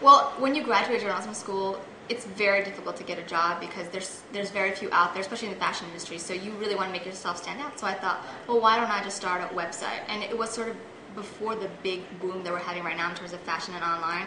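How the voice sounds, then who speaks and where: A woman speaks at a very fast pace with a medium pitch and ordinary pitch variation. Music plays in the background, and the room echo is audible. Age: 20s. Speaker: fashion entrepreneur. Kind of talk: interview.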